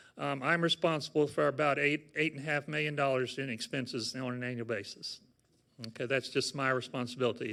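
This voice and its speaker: The recording is very clean, with a silent background. The pace is fairly quick. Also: man. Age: 60s. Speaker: nursing home administrator. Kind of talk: informational talk to residents. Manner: halting, many fillers.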